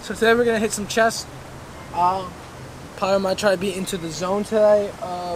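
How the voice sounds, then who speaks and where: Against noticeable background noise, a man speaks at a moderate pace with fairly even intonation. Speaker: fitness vlogger. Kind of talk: casual vlog chat. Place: garden.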